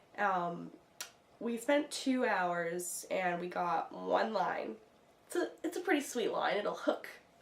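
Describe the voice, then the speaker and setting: Female speech, fairly slow in pace, with noticeable background noise behind it. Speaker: vlogger, aspiring radio broadcaster. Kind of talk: casual vlog monologue. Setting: at home.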